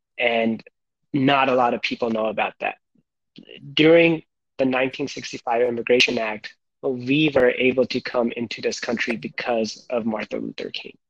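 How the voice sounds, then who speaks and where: A man's normal speaking voice at medium pitch, moderate pace and fairly even intonation, in a dry, close sound with no echo. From India (Gujarat), moved to US at nine. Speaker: podcast guest. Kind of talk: casual chat.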